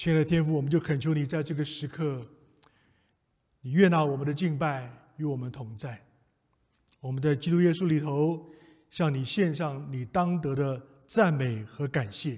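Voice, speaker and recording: Somewhat breathy, a man speaks at a moderate pace with ordinary pitch variation and long, frequent pauses against a quiet background. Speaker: preacher leading prayer. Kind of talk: prayer. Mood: calm, solemn, reassuring. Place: church.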